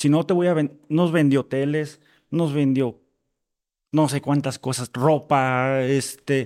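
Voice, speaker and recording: A man with a fairly high voice speaks at a very slow pace with fairly even intonation. The recording is very clean, and the background is silent. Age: 30s. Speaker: podcast guest sharing his mental health story. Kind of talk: personal testimony. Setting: home patio recording.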